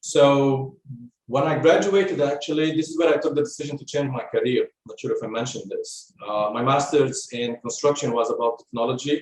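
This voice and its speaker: A man talks at a fairly quick pace with an Arabic accent. His fairly high pitch shows ordinary variation. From Lebanon. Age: 40s. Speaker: construction technology specialist. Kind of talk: podcast interview. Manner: halting, with fillers.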